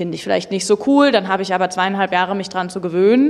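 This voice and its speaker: Talking very fast, a woman uses medium pitch and ordinary pitch variation. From Berlin. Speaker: industry association policy lead. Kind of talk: panel discussion.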